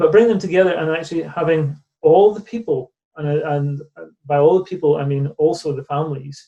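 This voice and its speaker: A man with a Northern Irish accent talks at a fairly quick pace, his fairly high pitch rising and falling in an ordinary way. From Northern Ireland, near Belfast. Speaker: charity director. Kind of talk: interview conversation. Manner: hesitant, with many repeated words.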